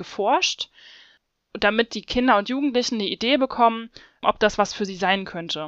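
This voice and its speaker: A woman has an ordinary speaking voice with a fairly high pitch and ordinary pitch variation. She speaks at a fairly quick pace. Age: 30s. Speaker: PhD researcher in physics education. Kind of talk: interview.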